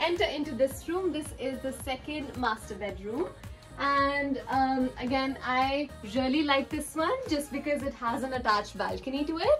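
Faint music plays behind a woman whose voice is high-pitched, with ordinary pitch variation. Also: moderate pace. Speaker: vlogger. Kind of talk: casual vlog chat. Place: home room. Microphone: phone near.

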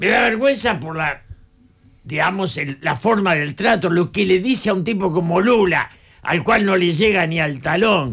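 Against a quiet background, a man speaks at a fairly slow pace with a high pitch and lively intonation. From Argentina, Buenos Aires area; Argentina. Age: 80s+. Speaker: political analyst. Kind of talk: radio interview. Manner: passionate, animated. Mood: indignant, critical. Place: studio. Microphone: studio mic.

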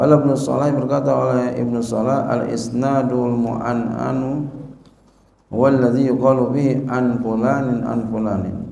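A man's monotone, flat delivery at a fairly slow pace, with audible room echo. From Indonesia. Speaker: Islamic cleric teaching a hadith text; religious teacher. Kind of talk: religious lecture, reading and explaining Arabic text. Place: hall. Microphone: podium.

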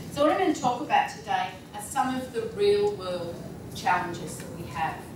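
Amid noticeable background noise and audible room echo, a woman with an Australian accent speaks at a moderate pace with very wide pitch swings and big swings in loudness. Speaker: leadership trainer and keynote speaker; leadership trainer, keynote speaker. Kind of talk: conference keynote talk to audience. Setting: conference hall with live audience. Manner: casual, humorous, blunt. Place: hall.

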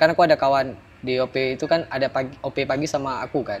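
Speaking at a very fast pace, a man keeps ordinary pitch variation. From Aceh, Indonesia. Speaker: former internet cafe attendant. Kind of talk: storytelling interview. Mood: recounting ghost story. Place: garden.

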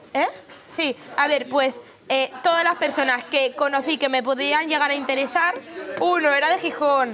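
A woman's high voice at a moderate pace, with ordinary pitch variation and light background noise. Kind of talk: casual group chat, personal anecdote. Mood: playful, laughing. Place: home room. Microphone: lapel.

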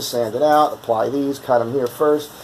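At a fairly quick pace, a man speaks in a monotone, flat intonation over light background noise. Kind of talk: tutorial. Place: workshop.

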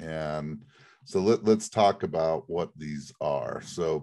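Very slowly, a man speaks over a quiet background. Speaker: podcast host presenting a case study. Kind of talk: conversational explanation. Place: home room. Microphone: webcam.

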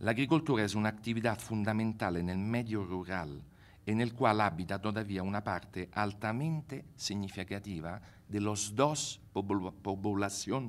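A man's fairly low voice comes through at a fairly slow pace. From Italy. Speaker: university researcher; conference panelist. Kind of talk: conference presentation. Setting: stage with audience. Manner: halting, mixing Italian and Spanish. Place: hall. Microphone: podium.

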